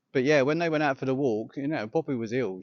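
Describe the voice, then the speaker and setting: A man with an English accent talks at a very fast pace. His pitch varies in an ordinary way. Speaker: yoga teacher. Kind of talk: personal reflection vlog. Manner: halting.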